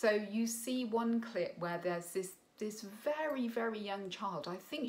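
A woman's voice at a fairly slow pace, with ordinary pitch variation. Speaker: parent coach. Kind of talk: opinion commentary. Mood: critical, earnest. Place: home room. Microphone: phone near.

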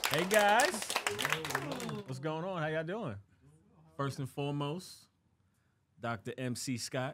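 Speaking very slowly with long, frequent pauses, a man uses a fairly high pitch and lively intonation over light background noise. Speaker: podcast co-host. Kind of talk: casual chat. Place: studio. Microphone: studio mic.

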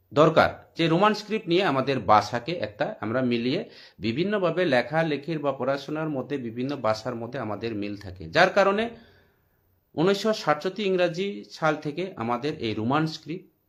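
A fairly high-pitched man with very wide pitch swings, over a quiet background. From Tripura, India. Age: 40s. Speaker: political commentator. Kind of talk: political monologue.

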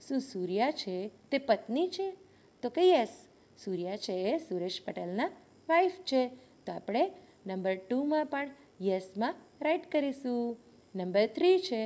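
A woman speaks with a high pitch and a dark, mellow tone. Her pitch swings very widely. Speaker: school teacher. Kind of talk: lesson.

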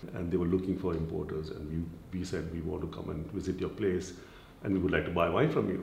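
In a room with audible echo and light background noise, a man talks at a very fast pace. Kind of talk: interview answer. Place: shop.

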